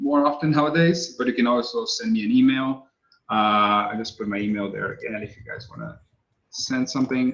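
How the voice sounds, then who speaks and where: A man with a Brazilian accent speaks at a medium pitch. His pace is fairly quick and his intonation lively. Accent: Brazilian accent, non-native English. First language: Portuguese. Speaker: texture artist. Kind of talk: webinar Q&A. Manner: halting; casual.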